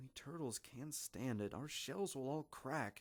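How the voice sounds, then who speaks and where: The man talks at a fairly slow pace. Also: very clean recording, silent background. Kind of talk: children's story reading.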